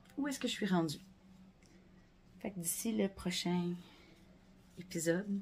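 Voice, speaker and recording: In a Quebec accent, the speaker goes at a very slow pace with long, frequent pauses, sounding somewhat breathy, with big swings in loudness and ordinary pitch variation. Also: woman, medium pitch for a woman. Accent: Québécois French. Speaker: knitting podcaster. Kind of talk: casual chat. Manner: hesitant, many fillers.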